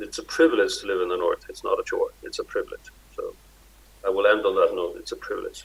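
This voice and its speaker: With an Icelandic accent, a man speaks at a moderate pace. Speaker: Arctic organization director. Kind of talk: conference speech. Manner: halting.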